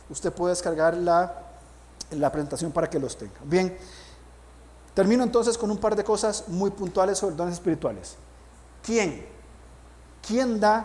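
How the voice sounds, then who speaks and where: Audible room echo around a man's high voice, its pitch varying in an ordinary way. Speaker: pastor. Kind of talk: sermon.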